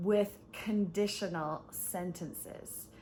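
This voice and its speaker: A woman speaks in a somewhat breathy voice at a medium pitch. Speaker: English teacher. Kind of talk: online English lesson. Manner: slow, clear.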